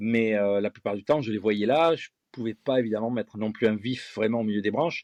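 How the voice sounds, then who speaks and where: In a quiet background with a dry, close sound and no echo, a man with a normal speaking voice and medium pitch talks at a moderate pace. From France, Gironde (Bègles, near Bordeaux). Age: 50s. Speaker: fishing lure designer and angling guide. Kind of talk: interview.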